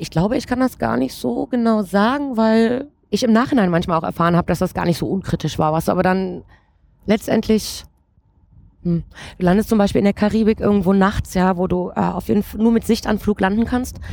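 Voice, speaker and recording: In a very clean recording with a silent background, a woman speaks at a fairly quick pace with lively intonation. She has a plain, everyday voice at medium pitch. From Saxony, Ore Mountains (Erzgebirge). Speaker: flight attendant. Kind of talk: interview.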